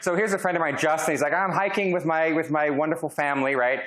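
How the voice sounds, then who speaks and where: A man with a high pitch and a bright, sharp tone speaks in a room with audible echo. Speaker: professor. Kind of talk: lecture. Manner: loud.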